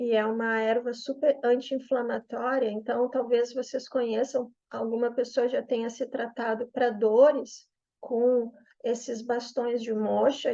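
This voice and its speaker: A woman speaks at a fairly slow pace in a high-pitched voice with a dark, mellow tone. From southern Brazil, Porto Alegre. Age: 50s. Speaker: yoga therapist and Chinese medicine practitioner. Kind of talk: promotional explainer video.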